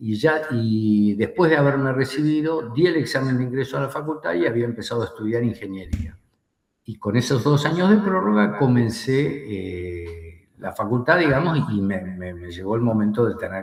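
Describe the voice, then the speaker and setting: A man speaks at a medium pitch, his voice somewhat breathy. His loudness swings widely and his pitch swings very widely. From Argentina. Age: 60s. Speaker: war veteran. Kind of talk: interview. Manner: hesitant, many fillers.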